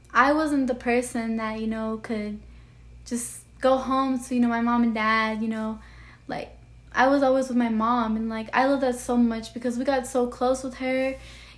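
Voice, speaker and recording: In a room with audible echo, a woman with a high voice speaks at a moderate pace with monotone, flat intonation. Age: 20s. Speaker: vlogger. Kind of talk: personal monologue vlog. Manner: casual, full of fillers.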